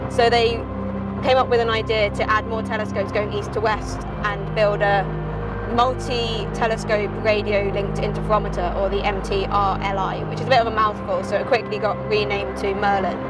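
Fairly quick speech with music in the background. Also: woman. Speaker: presenter. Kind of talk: explanatory commentary. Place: car. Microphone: phone near.

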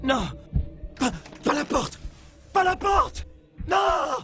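In a cartoonish character voice, a man talks at a very slow pace. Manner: shouting, desperate.

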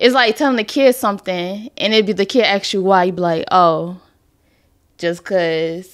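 Against a quiet background, a woman speaks at a moderate pace. Her voice sits at a medium pitch with ordinary pitch variation. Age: 20s. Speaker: podcast co-host, host's fiancée. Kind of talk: casual chat; casual podcast discussion. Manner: shy, quiet. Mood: earnest, opinionated. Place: studio. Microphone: studio mic.

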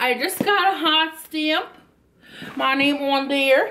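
Audible room echo surrounds a woman whose high voice has a bright, sharp tone.

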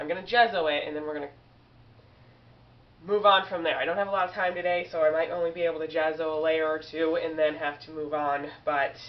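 A woman speaks at a very fast pace in a fairly low voice. Her intonation stays fairly even. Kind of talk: casual vlog chat. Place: home room. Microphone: webcam.

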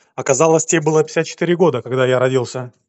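A man talks at a very fast pace with a fairly high pitch. His tone is slightly mellow, with ordinary pitch variation.

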